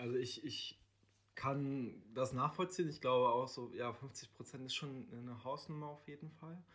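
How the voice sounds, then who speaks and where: A normal speaking voice from a man, fairly high in pitch, at a moderate pace with big swings in loudness. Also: ordinary pitch variation. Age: 20s. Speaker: social worker. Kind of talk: casual interview.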